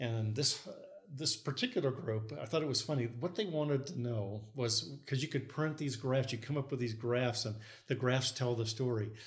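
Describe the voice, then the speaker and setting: A somewhat breathy man speaks at a moderate pace. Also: medium pitch for a man, ordinary pitch variation. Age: 60s. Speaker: structural engineer. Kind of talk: casual chat. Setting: guest's home.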